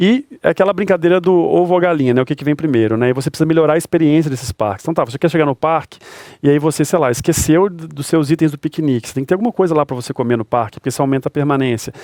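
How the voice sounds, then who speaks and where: A man with a mineiro accent talks at a very fast pace with hardly any pauses, in a fairly high pitch with ordinary pitch variation. The sound is dry and close, with no echo. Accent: mineiro accent (Belo Horizonte). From Brazil, Belo Horizonte (Minas Gerais). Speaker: stadium and park manager. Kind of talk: interview conversation.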